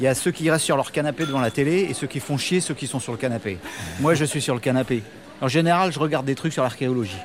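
Over music in the background, someone talks at a very fast pace with ordinary pitch variation. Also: man, fairly high pitch for a man. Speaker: rock band musician. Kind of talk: radio interview. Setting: café in Paris. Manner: halting.

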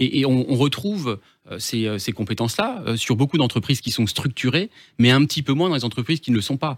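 A man at medium pitch, fairly quick and lively in intonation, in a very clean recording with a silent background. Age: 30s. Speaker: business transfer consultant. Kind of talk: radio interview. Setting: radio studio. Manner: hesitant, with repetitions.

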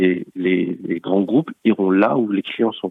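A man speaks with fairly even intonation at a fairly low pitch. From France, Paris region. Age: 40s. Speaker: bank co-founder. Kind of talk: interview. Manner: halting, many repetitions.

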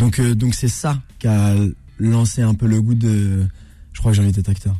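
A man's fairly low, somewhat breathy voice. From Normandy, France (Rouen). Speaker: actor and comedian. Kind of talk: radio interview. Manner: calm, measured.

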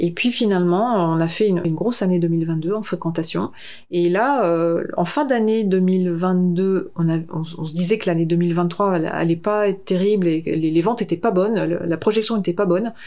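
A woman with a fairly low pitch and a dark, mellow tone speaks at a moderate pace with ordinary pitch variation. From northern France. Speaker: concert venue director. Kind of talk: interview. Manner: halting.

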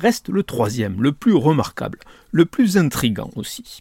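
This man's voice is somewhat breathy and swings very widely in pitch. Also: dry, close sound with no echo. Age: 60s. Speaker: newspaper columnist. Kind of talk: scripted commentary.

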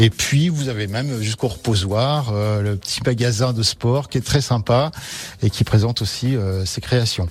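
A man speaks at medium pitch and a fairly slow pace. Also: ordinary pitch variation. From French Alps, Haute-Savoie. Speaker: mountain guide and artisan. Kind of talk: radio interview. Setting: radio studio. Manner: hesitant, many fillers.

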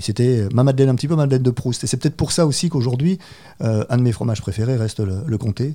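Speaking at a very fast pace, a man uses a medium pitch and a dark, mellow tone. His pitch variation is ordinary. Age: 50s. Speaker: cheesemonger. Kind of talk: interview.

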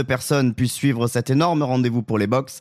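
The sound is dry and close with no echo. A man talks at medium pitch. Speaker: podcast host and presenter. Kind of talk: news reading, press review read out briskly in a broadcast newsreader style. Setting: studio.

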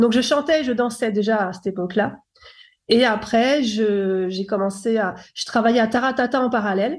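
A woman with an ordinary speaking voice talks at a moderate pace, her fairly high pitch moving with ordinary variation. The recording is very clean, with a silent background. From France, Paris. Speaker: former R&B singer turned producer. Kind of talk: interview.

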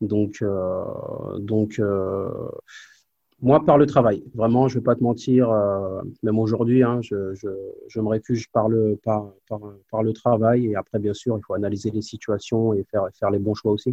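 This man's voice sits at a fairly low pitch with fairly even intonation. He talks at a fairly slow pace. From Normandy, France (Évreux). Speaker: former pro basketball player, player development coach. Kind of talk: interview testimony. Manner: halting, many repetitions.

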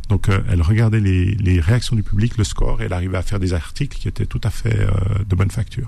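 With a Swiss accent, a man talks at a very fast pace. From Switzerland. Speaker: novelist and author. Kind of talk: radio interview. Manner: halting, with many repetitions.

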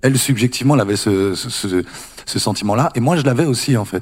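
A man speaks at a fairly quick pace. His pitch sits in the medium range and varies in an ordinary way. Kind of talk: panel discussion.

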